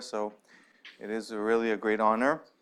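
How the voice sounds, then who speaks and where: A man speaks with an American accent at medium pitch. The background is quiet. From US Pacific Northwest, Seattle. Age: 40s. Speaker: investor and fund manager giving a guest talk. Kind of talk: lecture. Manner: halting, many fillers and restarts.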